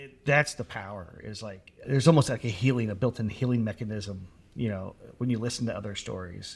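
Over a silent background in a very clean recording, a somewhat breathy man at a medium pitch talks at a fairly quick pace, with ordinary pitch variation and big swings in loudness. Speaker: podcast co-host. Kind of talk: interview conversation.

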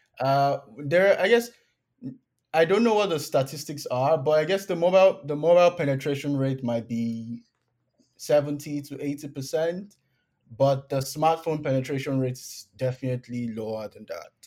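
A man speaks with a Nigerian accent. His pitch sits fairly high, and he talks at a moderate pace. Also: ordinary pitch variation. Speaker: PhD student in computer science. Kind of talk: casual interview.

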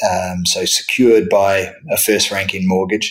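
Speaking with a New Zealand accent, a man uses a fairly low pitch and fairly even intonation. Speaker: real estate debt investment executive. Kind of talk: interview. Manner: halting with fillers.

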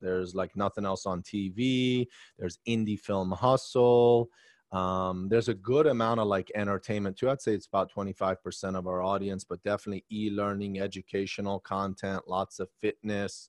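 A man with an American accent and an unremarkable speaking voice talks at a fairly low pitch and a moderate pace, his intonation fairly even, in a dry, close sound with no echo over a quiet background. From Maryland, US. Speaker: tech company founder. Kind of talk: interview.

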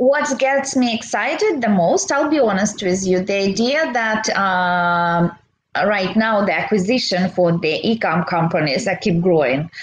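Speaking at a fairly slow pace with hardly any pauses, a woman with a medium-pitched, somewhat breathy voice keeps her loudness very even while her intonation stays lively. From Belarus. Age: 30s. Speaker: e-commerce seller and entrepreneur. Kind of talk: interview. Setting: livestream.

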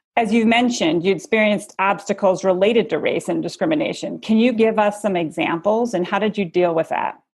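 A woman's unremarkable speaking voice, medium in pitch with ordinary pitch variation, at a fairly quick pace with hardly any pauses. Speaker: company executive acting as interviewer. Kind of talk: interview questions.

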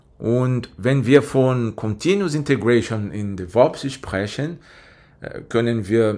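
Speaking very slowly with a Portuguese accent, a man uses lively intonation at a medium pitch. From Brazil. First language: Portuguese (speaking German). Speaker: IT specialist. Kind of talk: podcast interview.

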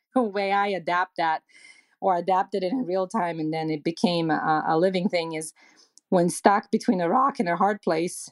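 Speech comes at a moderate pace with ordinary pitch variation. The sound is dry and close, with no echo. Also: woman. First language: not English (English is second or third language). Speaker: marketing and communications executive. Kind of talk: interview answers, conversational business talk.

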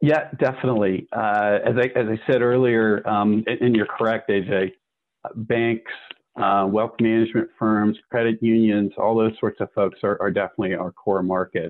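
A man with an American accent, in an ordinary speaking voice. He talks at a moderate pace with fairly even intonation. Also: medium pitch for a man. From US. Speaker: business executive. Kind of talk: interview.

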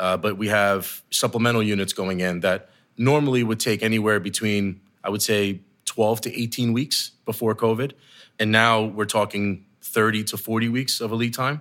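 A man with an American accent talks in an unremarkable speaking voice, fairly low in pitch, at a moderate pace. His intonation is fairly even, and the recording is very clean with a silent background. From New Jersey. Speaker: construction company executive. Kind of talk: podcast interview. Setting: office boardroom.

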